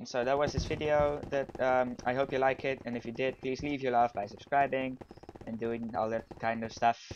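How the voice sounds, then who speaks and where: With a Dutch accent, a man of medium pitch speaks at a moderate pace against noticeable background noise. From Netherlands. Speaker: gaming YouTuber. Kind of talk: gameplay commentary. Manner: animated.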